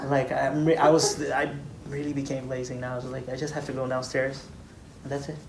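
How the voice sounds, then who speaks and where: Amid noticeable background noise and audible room echo, a man speaks in a flat monotone at a fairly quick pace. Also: medium pitch for a man. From Brazil. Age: 20s. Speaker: engineer. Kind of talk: interview.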